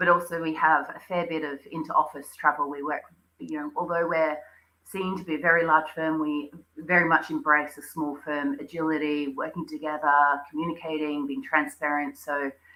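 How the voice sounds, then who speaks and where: With an Australian accent, a woman with a very deep, low voice speaks at a moderate pace in a flat monotone, her loudness swinging widely. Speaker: interior designer. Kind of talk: interview. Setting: live stream. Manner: hesitant with fillers.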